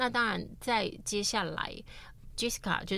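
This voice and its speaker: A bright, sharp tone with vocal fry comes through audible room echo. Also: woman. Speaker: Amerasian searching for father. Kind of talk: interview.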